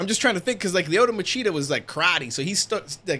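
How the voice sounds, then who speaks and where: A man talks at a very fast pace with lively intonation. The recording is very clean, with a silent background. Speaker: streamer reacting live to boxing. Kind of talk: live stream reaction commentary. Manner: loud, sometimes sounds like yelling; repeats words, stammering restarts.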